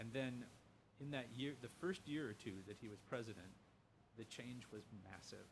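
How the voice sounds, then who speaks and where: A man talks with an American accent in a somewhat breathy voice. He pauses long and often. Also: medium pitch for a man, ordinary pitch variation, moderate pace. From US Midwest, Lima, Ohio. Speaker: professor, humanities center director. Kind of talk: casual interview conversation. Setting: in person.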